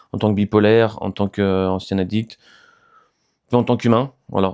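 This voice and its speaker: A man talks fairly quickly in a monotone, his intonation flat and his pitch fairly low. His tone is dark and mellow, on a very clean recording with a silent background. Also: dry, close sound with no echo. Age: 30s. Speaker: YouTuber sharing mental health experience. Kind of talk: casual vlog monologue. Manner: hesitant, many fillers.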